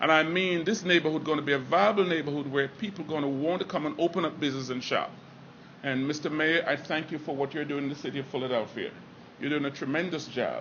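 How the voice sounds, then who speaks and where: Fairly even in intonation, the speech moves at a very fast pace over noticeable background noise. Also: man, fairly high pitch for a man. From Jamaica. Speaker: restaurant owner. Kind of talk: public speech.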